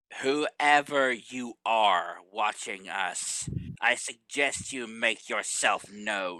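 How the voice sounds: A man does a put-on character voice that booms at a medium pitch. He delivers it at a very slow pace.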